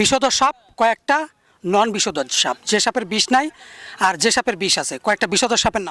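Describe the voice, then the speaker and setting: The voice is raised and projected, with a bright, sharp tone. The sound is dry and close, with no echo. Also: man, high pitch for a man. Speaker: snake rescuer and awareness campaigner. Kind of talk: field interview and debate. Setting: outdoors.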